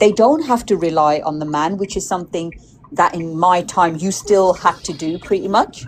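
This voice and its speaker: A woman's moderately paced speech comes through with noticeable background noise. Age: 70s. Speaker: panelist on live stream. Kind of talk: casual panel discussion.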